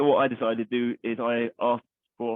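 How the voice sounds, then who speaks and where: A man speaks with a medium pitch. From East London. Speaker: army veteran, charity founder. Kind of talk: interview answer.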